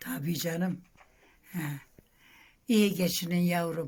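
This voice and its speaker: Someone speaks at a fairly slow pace in a somewhat breathy voice. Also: woman. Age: 80s+. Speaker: village elder. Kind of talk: interview answer.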